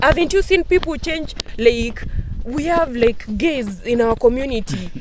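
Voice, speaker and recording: A woman with an African accent speaks at a moderate pace and a high pitch with lively intonation, in a dry sound with no echo but noticeable background noise. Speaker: discussion participant. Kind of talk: casual group discussion. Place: garden.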